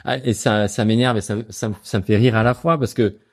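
At a moderate pace, a man speaks with a medium pitch. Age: 40s. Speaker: founder of an investment advisory platform. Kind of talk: interview. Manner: hesitant, many fillers and repetitions.

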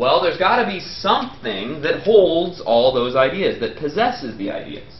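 A high-pitched man at a fairly slow pace, with audible room echo and light background noise. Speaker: professor. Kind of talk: lecture. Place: classroom.

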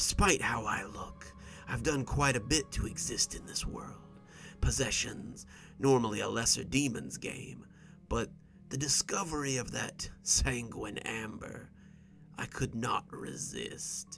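Over clear background noise, a man does a wheezy, hissing put-on character voice at medium pitch and a fairly slow pace. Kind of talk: horror narration. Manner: menacing, mocking, threatening.

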